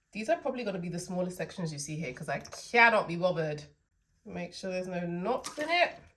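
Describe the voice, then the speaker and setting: A woman with a London accent talks very fast at a medium pitch, with lively intonation and big swings in loudness. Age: 20s. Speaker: hair stylist and hair brand owner. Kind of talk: tutorial. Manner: casual, chatty.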